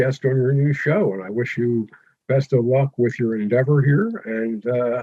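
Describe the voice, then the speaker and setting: A man's somewhat breathy voice at a moderate pace. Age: 70s. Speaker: retired educator and ham radio operator. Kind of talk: interview.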